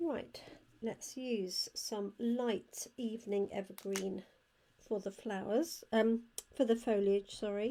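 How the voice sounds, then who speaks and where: Delivered at a very slow pace, the speech carries a British accent. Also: woman, fairly high pitch for a woman, ordinary pitch variation. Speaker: card-making crafter and product demonstrator. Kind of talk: crafting tutorial. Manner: quiet.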